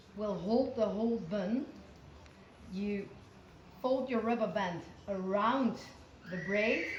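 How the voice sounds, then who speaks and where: A woman with a non-native accent speaks at a fairly high pitch with ordinary pitch variation, with audible room echo and noticeable background noise. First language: not English. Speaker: showjumper. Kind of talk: tutorial. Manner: halting.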